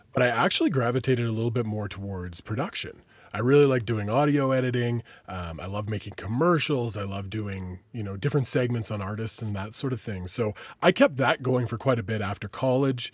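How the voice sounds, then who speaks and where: Speaking at a fairly quick pace with ordinary pitch variation, this man has a normal speaking voice. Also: medium pitch for a man, very clean recording, silent background. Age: 30s. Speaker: podcast host and radio DJ. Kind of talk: casual interview chat.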